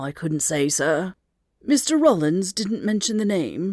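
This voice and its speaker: In a put-on character voice, a female-sounding speaker talks fairly slowly at a middle pitch with a raspy sound. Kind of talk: butler's best company accents. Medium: read story. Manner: formal, deferential.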